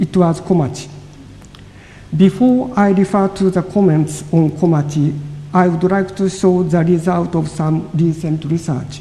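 There is noticeable background noise as a man with a Japanese accent speaks at a fairly slow pace. His pitch is high. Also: ordinary pitch variation. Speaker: lecturer on Japanese poetry. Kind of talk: audience Q&A; lecture. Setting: lecture hall with audience.

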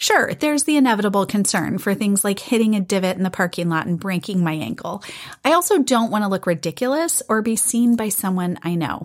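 A woman with an unremarkable speaking voice, medium pitch and lively intonation at a fairly quick pace. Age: 40s. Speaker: podcast host. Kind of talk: solo podcast monologue.

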